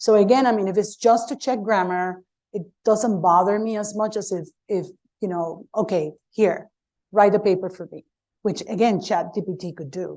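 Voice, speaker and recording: At a moderate pace, a woman with a non-native accent speaks in a dark, mellow tone. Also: medium pitch for a woman, ordinary pitch variation, big swings in loudness. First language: not English. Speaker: professor and panelist. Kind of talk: panel discussion. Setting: conference panel with audience.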